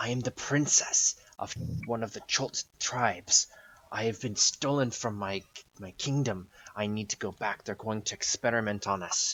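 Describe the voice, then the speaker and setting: A man whispers softly in a put-on character voice, with a hissing sound. He keeps a moderate pace. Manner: urgent, quiet but clear.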